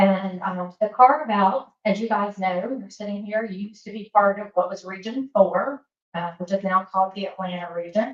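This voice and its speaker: A woman's medium-pitched voice in a Southern US accent, at a moderate pace with hardly any pauses, ordinary pitch variation and big swings in loudness. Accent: Southern accent, kept. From US South, Alabama. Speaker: government safety regional administrator. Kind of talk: presentation at professional meeting. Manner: casual, many fillers.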